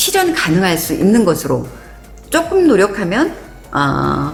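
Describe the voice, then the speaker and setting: A woman speaks amid noticeable background noise, with audible echo from the room. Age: 50s. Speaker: nature interpreter and vlogger. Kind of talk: personal vlog monologue.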